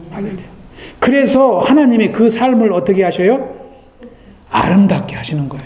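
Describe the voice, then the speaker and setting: Audible room echo surrounds a man's voice. Noticeable background noise is also present. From Korea. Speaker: pastor. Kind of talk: sermon.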